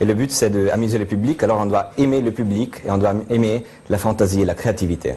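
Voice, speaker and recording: Talking at a fairly quick pace, a man with a strong Italian accent and fairly low pitch uses ordinary pitch variation over noticeable background noise. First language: Italian (speaking French). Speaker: mentalist. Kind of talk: TV interview with live demonstration. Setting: TV studio. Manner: hesitant, many fillers.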